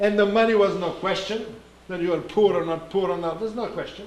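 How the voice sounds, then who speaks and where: A man's high-pitched voice, with ordinary pitch variation, carries through noticeable background noise and audible room echo. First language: Russian. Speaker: Orthodox priest giving a talk. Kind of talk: sermon-like talk. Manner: halting, searching for words.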